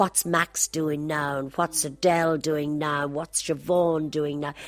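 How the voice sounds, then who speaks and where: At a moderate pace, a woman speaks in a Dublin accent. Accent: Dublin Irish. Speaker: singer. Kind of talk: reminiscing interview.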